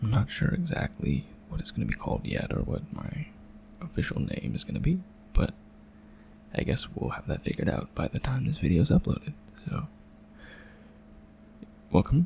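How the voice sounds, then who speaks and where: Soft-spoken, a man talks at a fairly quick pace with long, frequent pauses amid noticeable background noise. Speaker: ASMR creator, doodle artist. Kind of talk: soft-spoken ASMR drawing commentary.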